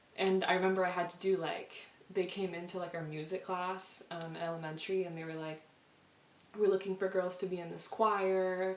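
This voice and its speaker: Audible room echo surrounds a woman with a Spanish accent who speaks at a fairly quick pace in a medium pitch and a monotone, flat intonation. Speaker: vlogger. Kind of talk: casual chat. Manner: fast.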